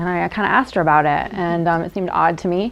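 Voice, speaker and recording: A woman with an American accent speaks at a fairly quick pace with ordinary pitch variation over noticeable background noise. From North Jersey, US Northeast. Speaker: researcher and speaker. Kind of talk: lecture. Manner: fast.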